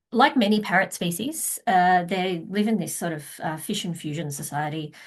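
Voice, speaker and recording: In an Australian accent, a woman speaks with lively intonation. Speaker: wildlife researcher. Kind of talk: conference talk. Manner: hesitant, many fillers.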